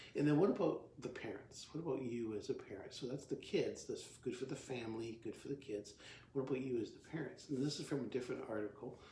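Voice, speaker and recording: A man with a dark, mellow, somewhat breathy voice speaks at a very fast pace, medium in pitch with ordinary pitch variation. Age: 60s. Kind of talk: talk to camera, devotional teaching. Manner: halting, many fillers and restarts; casual, conversational.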